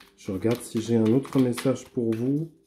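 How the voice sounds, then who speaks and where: Very slowly, a man talks in a dark, mellow tone. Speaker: therapist and energy healer doing card readings. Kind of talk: weekly tarot card reading. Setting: treatment room. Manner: hesitant, many filler sounds.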